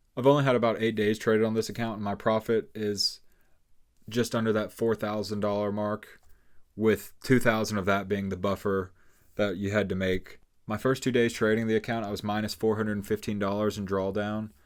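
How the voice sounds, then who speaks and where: A man's fairly low, monotone voice at a fairly quick pace, in a very clean recording with a silent background. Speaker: day trader. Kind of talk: trade recap tutorial. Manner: fast; casual.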